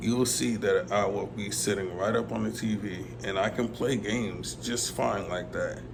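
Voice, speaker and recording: Speaking at a fairly slow pace, a man keeps a fairly low pitch. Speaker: visually impaired gamer vlogger. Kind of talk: casual talk to camera.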